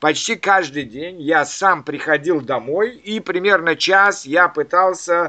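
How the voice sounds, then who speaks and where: Speaking very slowly, a man uses a bright, sharp tone and a high pitch with ordinary pitch variation. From Soviet Central Asia and Leningrad. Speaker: language learning podcast host. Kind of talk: casual chat. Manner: halting.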